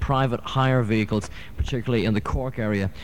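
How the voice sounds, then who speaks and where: A relaxed tone in a Dublin accent, at a fairly quick pace with ordinary pitch variation. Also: man. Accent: Irish (Dublin). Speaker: radio DJ. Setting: radio studio. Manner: relaxed, chatty ad-lib delivery peppered with 'uh' fillers and small restarts; wry, self-deprecating asides with a dry, joking tone.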